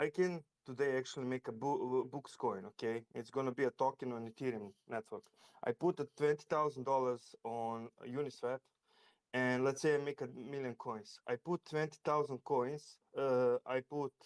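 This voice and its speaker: A non-native accent with fairly even intonation at a moderate pace, in a dry, close sound with no echo. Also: man, medium pitch for a man. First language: not English. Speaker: crypto trader. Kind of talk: casual chat. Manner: halting.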